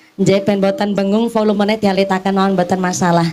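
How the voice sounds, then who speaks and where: A woman's voice over noticeable background noise. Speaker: Islamic preacher. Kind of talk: sermon. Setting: outdoor gathering with PA system. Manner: animated. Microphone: echo on mic.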